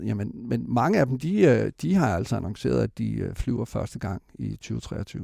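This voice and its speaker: A man is heard on a very clean recording with a silent background. The sound is dry and close with no echo. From West Jutland, Denmark. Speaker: space company CEO. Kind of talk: interview. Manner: halting.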